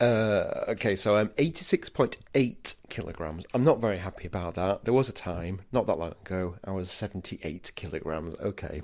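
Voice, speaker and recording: With an English accent, a man speaks at a moderate pace and a fairly low pitch, with ordinary pitch variation and hardly any pauses, on a very clean recording with a silent background. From England. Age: 40s. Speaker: podcast host, food historian. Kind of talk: casual podcast narration.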